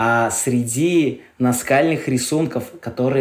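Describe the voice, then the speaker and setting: This man's voice sits fairly high in pitch, and he speaks at a very slow pace. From Karelia, Russia. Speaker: travel guide and glamping owner. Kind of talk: casual interview. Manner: animated.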